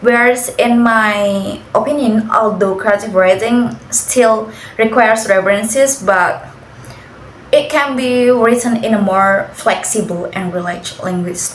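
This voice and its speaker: A woman with an Indonesian accent speaks at a fairly slow pace, fairly high in pitch with ordinary pitch variation. Audible room echo and noticeable background noise surround her. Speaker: university student. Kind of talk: class assignment interview.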